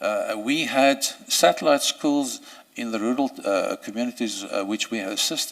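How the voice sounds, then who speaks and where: A man with a South African accent talks at a moderate pace. The recording is very clean, with a silent background. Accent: Afrikaans South African English. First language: Afrikaans. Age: 60s. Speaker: judicial candidate, senior advocate. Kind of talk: job interview. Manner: halting, many fillers and repetitions.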